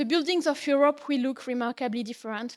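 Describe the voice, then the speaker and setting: Recorded very cleanly over a silent background, a woman speaks high in a French accent. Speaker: policy officer at a homelessness organization. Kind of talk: conference lecture.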